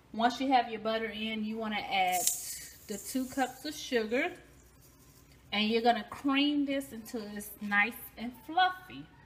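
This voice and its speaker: Over noticeable background noise, a woman with an American accent and fairly high pitch talks at a fairly slow pace, using lively intonation and big swings in loudness. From US South. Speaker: cooking channel host. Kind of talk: cooking tutorial. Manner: animated.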